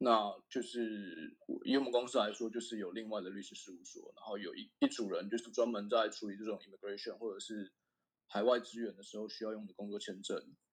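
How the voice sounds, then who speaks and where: A man's fairly quick speech with big swings in loudness. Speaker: semiconductor equipment engineer. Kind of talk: casual interview chat. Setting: remote call.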